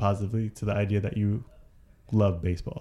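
A man talks with an American accent in a plain, everyday voice. His pitch is fairly low and his pace fairly quick. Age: 30s. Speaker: podcast co-host, nonprofit worker. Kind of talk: casual chat.

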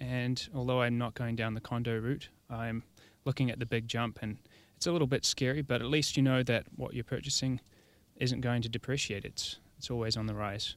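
Monotone and flat, a man with a New Zealand accent talks fairly quickly at a medium pitch. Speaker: arborist. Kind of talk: casual chat. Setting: studio.

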